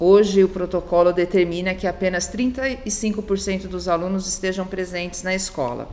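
Moderate pace and ordinary pitch variation amid noticeable background noise. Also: woman. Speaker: school coordinator. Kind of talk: informational interview.

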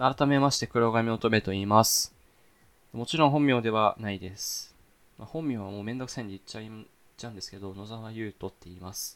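A man at medium pitch, ordinary pitch variation, big swings in loudness and a fairly quick pace. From Saitama, Japan. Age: young. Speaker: podcast host, university student. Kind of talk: casual solo talk. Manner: fast, run-on.

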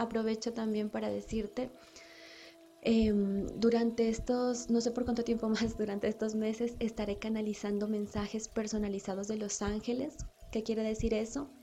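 This woman speaks at a moderate pace, her fairly high voice held to a monotone, flat intonation. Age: 30s. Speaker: spiritual podcast host, angel channeler. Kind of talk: spiritual monologue.

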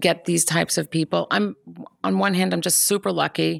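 A woman at a moderate pace on a very clean recording with a silent background. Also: dry, close sound with no echo. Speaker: music company founder and producer. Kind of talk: casual interview chat. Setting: studio.

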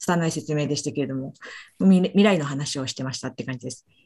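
A woman's very deep, low voice with a dark, mellow tone, very fast pace and ordinary pitch variation. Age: 40s. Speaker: physician presenting research papers. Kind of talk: journal club presentation. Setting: video call. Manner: halting, many fillers.

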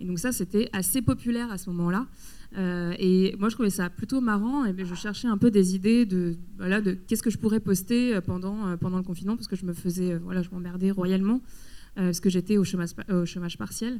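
A dark, mellow tone moves at a fairly quick pace with fairly even intonation. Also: woman, medium pitch for a woman. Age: 30s. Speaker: photographer. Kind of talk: public talk interview. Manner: halting.

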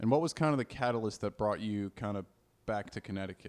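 Using a normal speaking voice, a man talks at a fairly quick pace with a fairly low pitch. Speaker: podcast co-host, comedian. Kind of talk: casual podcast chat.

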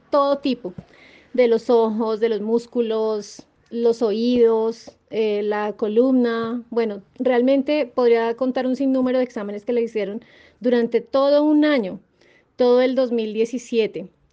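Fairly even intonation and a fairly high pitch mark a woman who talks at a fairly slow pace. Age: 40s. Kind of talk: interview testimony. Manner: hesitant fillers.

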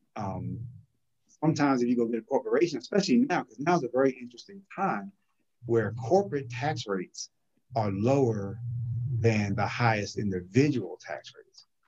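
A man's medium-pitched voice, somewhat breathy, with lively intonation, a fairly quick pace and big swings in loudness. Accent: American. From New Jersey (New Brunswick). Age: 50s. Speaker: accountant and financial business owner. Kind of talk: casual interview.

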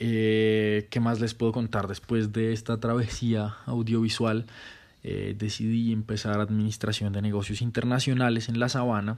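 A man speaks at medium pitch and a fairly slow pace, his intonation monotone and flat. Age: 20s. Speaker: podcaster and student. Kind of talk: casual monologue introduction.

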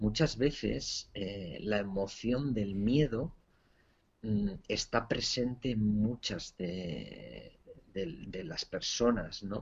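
A man talks at a very slow pace with a fairly low pitch and vocal fry. His intonation is lively. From Spain. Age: 40s. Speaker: entrepreneur and author. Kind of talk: interview testimony. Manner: halting, with repeated words.

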